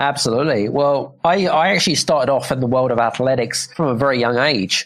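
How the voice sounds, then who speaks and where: A man with a British accent at a fairly quick pace. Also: medium pitch for a man, ordinary pitch variation. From England, UK. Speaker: business coach and author. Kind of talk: podcast interview.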